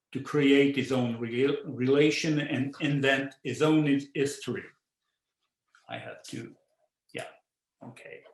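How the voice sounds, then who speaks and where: In a Quebec accent, a man with a fairly high pitch talks at a fairly slow pace, with fairly even intonation, big swings in loudness and long, frequent pauses. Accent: French-Canadian accent in English. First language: French. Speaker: visual artist. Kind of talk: artist talk. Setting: virtual talk. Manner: halting, with frequent repetitions and fillers.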